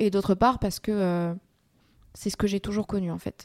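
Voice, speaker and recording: A woman speaks at a fairly slow pace in a monotone, flat intonation. The sound is dry and close, with no echo. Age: 20s. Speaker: student activist. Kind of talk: interview testimony. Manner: hesitant, many fillers.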